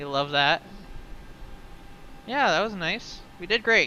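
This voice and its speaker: Moderate pace over music in the background. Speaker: flight sim streamer. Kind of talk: radio phraseology; casual livestream commentary. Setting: livestream with chat. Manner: stuttering.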